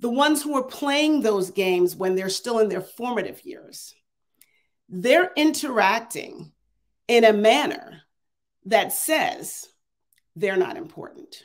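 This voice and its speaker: A woman talks fairly slowly in a fairly high pitch with very wide pitch swings. Long, frequent pauses break up her speech over a quiet background. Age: 50s. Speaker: AI consultant and adjunct professor; adjunct professor. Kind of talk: keynote talk with Q&A. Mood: earnest, persuasive. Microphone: earbuds.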